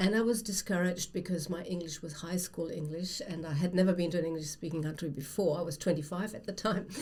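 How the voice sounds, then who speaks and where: A woman with a German accent talks very fast with hardly any pauses, her fairly low voice somewhat breathy. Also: ordinary pitch variation. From Germany. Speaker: writer and former academic. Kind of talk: casual chat.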